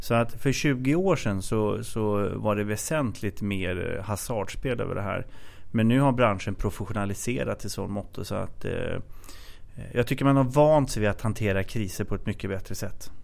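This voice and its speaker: Speaking at a moderate pace, a man with a fairly low pitch uses an ordinary speaking voice and ordinary pitch variation. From Sweden, Katrineholm. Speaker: bank investor relations head, former analyst. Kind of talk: casual interview.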